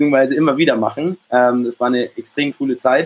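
A man at a fairly high pitch, ordinary pitch variation and a moderate pace. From Germany, Munich. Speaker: entrepreneur, olive oil business founder. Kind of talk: live interview at a meetup. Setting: live meetup with audience.

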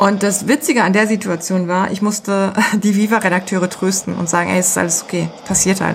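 A woman with a normal speaking voice talks at medium pitch and a fairly quick pace, her intonation fairly even and hardly any pauses between words. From Germany. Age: 40s. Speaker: music PR agency owner. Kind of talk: interview.

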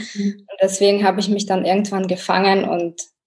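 A woman of medium pitch with a dark, mellow tone. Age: 30s. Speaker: engineer and mother sharing a weight-loss story. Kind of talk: podcast interview.

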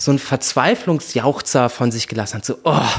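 A man with a fairly high voice talks at a moderate pace, his intonation lively. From Hesse, Germany. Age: 20s. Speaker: office manager at a film production company, former musical performer. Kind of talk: casual chat. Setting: home, sitting on couch. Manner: animated, playful with voice.

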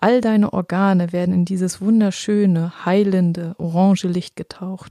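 In a dry, close sound with no echo, a woman at medium pitch speaks with a dark, mellow, soothing and calm tone, monotone, flat intonation and hardly any pauses. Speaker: podcast host and meditation guide. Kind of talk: guided meditation. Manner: slow, soothing, calm and gentle, with long pauses; warm, reassuring, intimate, addressing listener as 'du'.

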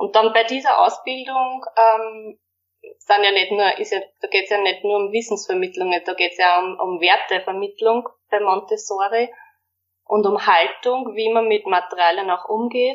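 A woman speaks in a normal speaking voice at a medium pitch. Her pace is moderate and her intonation fairly even. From Austria, Waldviertel (Lower Austria). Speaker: primary school teacher. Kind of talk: interview.

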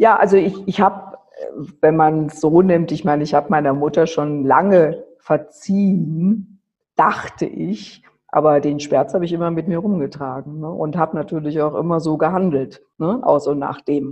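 A woman with a very deep, low pitch speaks at a moderate pace, with ordinary pitch variation. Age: 50s. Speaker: charity founder running children's homes in Nepal. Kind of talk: interview.

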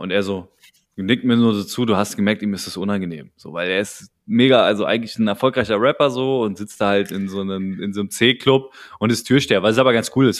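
The man speaks at a very fast pace. His pitch varies in an ordinary way. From Berlin. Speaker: rap podcast host. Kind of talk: casual chat. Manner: animated.

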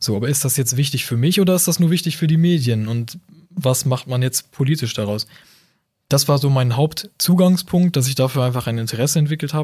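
A man talks at a fairly quick pace with a fairly high pitch, ordinary pitch variation, and a dark, mellow, somewhat breathy tone. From northern Germany, near Bremen. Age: 20s. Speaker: university student, convert to Islam. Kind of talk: casual interview conversation.

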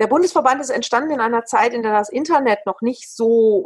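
Recorded dry and close with no echo, a woman with a fairly high voice speaks at a moderate pace, her pitch swinging very widely. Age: 50s. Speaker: dance teacher and association chair. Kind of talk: interview.

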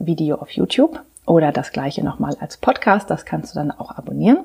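A woman's dark, mellow voice carries vocal fry. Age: 40s. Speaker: life and leadership coach. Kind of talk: podcast monologue. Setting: home practice rooms, on camera. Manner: hesitant, many fillers.

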